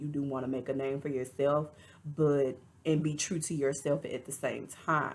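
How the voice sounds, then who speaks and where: In an American accent, a woman speaks at a moderate pace with a very deep, low pitch and monotone, flat intonation. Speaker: reality TV reviewer. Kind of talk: casual commentary.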